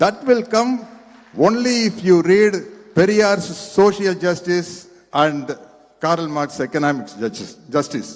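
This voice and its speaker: With noticeable background noise around him, a man speaks in a high voice whose pitch varies normally. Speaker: guest speaker at political event. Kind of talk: public speech.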